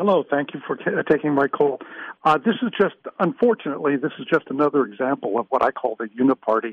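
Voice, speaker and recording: With an American accent, a man in a normal speaking voice talks fairly quickly at a fairly high pitch. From US Midwest, Minnesota. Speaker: caller. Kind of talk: call-in radio comment. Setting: phone call.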